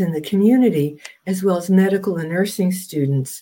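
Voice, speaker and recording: Speaking with an American accent, a woman has a dark, mellow tone, medium pitch and ordinary pitch variation. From US Northeast, New Jersey. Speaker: Jungian analyst. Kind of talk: interview.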